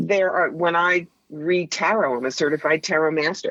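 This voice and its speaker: This woman has an ordinary speaking voice with a fairly low pitch. She talks at a moderate pace. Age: 60s. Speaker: professional psychic and author. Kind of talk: radio interview.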